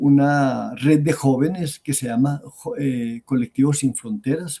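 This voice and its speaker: A man's fairly slow speech, fairly high in pitch with ordinary variation and a dark, mellow tone. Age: 70s. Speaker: popular educator and lecturer. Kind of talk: academic talk answering questions.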